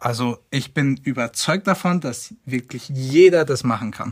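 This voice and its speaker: On a very clean recording with a silent background, a man speaks at a moderate pace. His medium pitch shows ordinary pitch variation. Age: 20s. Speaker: web and tech team member. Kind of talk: casual interview.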